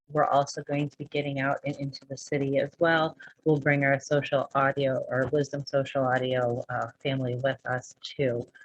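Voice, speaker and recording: Her voice is very deep and low, somewhat breathy, with monotone, flat intonation. The woman speaks at a moderate pace. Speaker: real estate broker and podcast host. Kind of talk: casual monologue. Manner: sometimes stutters; unscripted, halting.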